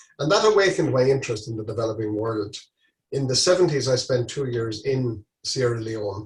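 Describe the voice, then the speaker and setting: A somewhat breathy man with an Irish accent talks at a fairly quick pace at medium pitch with ordinary pitch variation. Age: 60s. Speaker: charity walker. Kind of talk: interview. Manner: halting.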